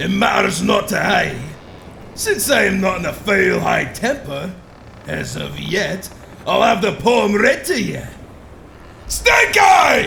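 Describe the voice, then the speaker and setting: A man performs a put-on character voice, gruff and menacing in tone, at a fairly slow pace with long, frequent pauses and clear background noise. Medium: audio drama. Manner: menacing, gruff pirate speech.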